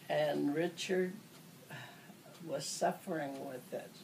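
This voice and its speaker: A woman's very slow speech with lively intonation amid noticeable background noise. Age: 80s+. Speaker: elderly relative recalling family history. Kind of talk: oral history interview. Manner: halting.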